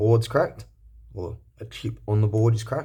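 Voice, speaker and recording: Recorded very cleanly against a silent background, a man speaks at a moderate pace in a dark, mellow, somewhat breathy tone. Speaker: electronics repair youtuber. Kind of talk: tutorial. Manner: casual, halting with fillers.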